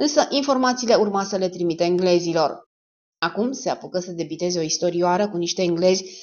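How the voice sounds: Against a quiet background, someone reads in a natural reading voice.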